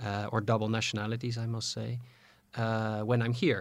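Monotone, flat intonation from a man with a Dutch accent and fairly low pitch, on a very clean recording with a silent background. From Netherlands. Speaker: diplomat. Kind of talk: interview. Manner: halting, many fillers.

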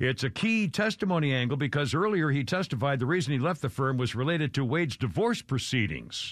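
Over a quiet background, a man with a fairly high pitch races along at a very fast pace, with lively intonation, very even loudness and hardly any pauses. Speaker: talk radio host. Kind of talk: casual talk radio chat. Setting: studio. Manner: animated.

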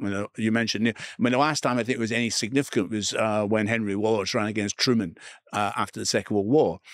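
A man with an Edinburgh accent at a very fast pace, in a dry, close sound with no echo and a very clean, silent background. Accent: Scottish (Edinburgh). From Scotland, Edinburgh. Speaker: author and media presenter. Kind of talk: interview conversation.

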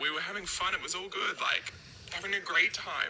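A woman's moderate-paced speech competes with noticeable background noise. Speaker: listener sending a voice message. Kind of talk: recorded voice message. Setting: voice memo recording.

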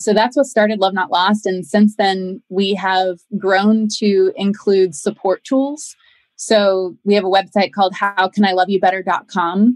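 In an unremarkable speaking voice, a woman of medium pitch talks at a fairly slow pace with fairly even intonation, very even loudness and hardly any pauses, in dry, close sound with no echo. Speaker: founder of a grief support company. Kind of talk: interview.

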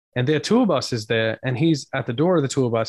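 In an Australian accent, a man talks very fast with lively intonation over a quiet background. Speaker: band frontman and podcaster. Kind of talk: casual interview chat. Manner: jokey, talkative.

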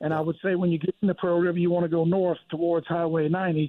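Fairly quick, fairly even-toned speech from a high-pitched man with a Southern US accent. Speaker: charter fishing captain. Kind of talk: casual chat.

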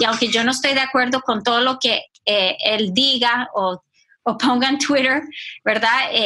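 Keeping very even loudness, a woman speaks at a high pitch and a fairly slow pace with fairly even intonation. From Costa Rica and US. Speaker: ministry team director. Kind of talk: casual discussion.

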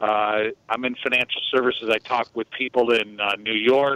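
Moderate pace and monotone, flat intonation in an American accent. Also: man. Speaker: caller. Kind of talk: casual chat. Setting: phone call.

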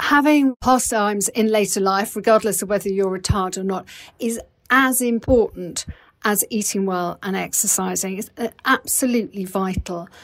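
A woman's passionate tone at medium pitch, with ordinary pitch variation. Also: moderate pace. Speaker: health coach and author. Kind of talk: expert interview discussion.

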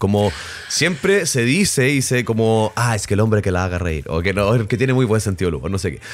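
A man's intonation is lively, with music in the background. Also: fairly low pitch for a man, fairly quick pace. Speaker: sex educator podcast co-host, actor and musician. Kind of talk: casual chat.

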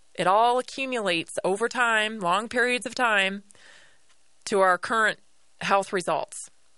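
A woman's fairly high, bright, sharp voice with ordinary pitch variation, a fairly slow pace and long, frequent pauses against a quiet background. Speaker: radio host. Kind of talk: radio dj patter. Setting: studio. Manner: conversational.

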